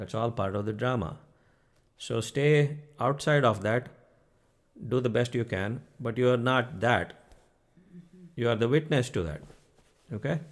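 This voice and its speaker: The speaker has an Indian accent and a fairly slow pace. Long pauses come often. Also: man, medium pitch for a man, ordinary pitch variation. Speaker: spiritual teacher. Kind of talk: spiritual talk to online audience. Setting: live stream. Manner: conversational, frequent 'okay?' check-ins.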